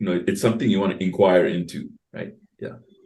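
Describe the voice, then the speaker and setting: Somewhat breathy, a man's voice comes through. He speaks at a fairly quick pace. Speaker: co-host, coach, former radio host. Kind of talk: webinar Q&A and closing. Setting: video call.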